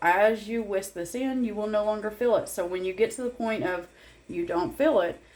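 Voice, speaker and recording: Her intonation is lively and her pitch fairly high. The woman keeps a moderate pace. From Tennessee, US South. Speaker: home cooking and crafts creator. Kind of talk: tutorial. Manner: casual, with many fillers.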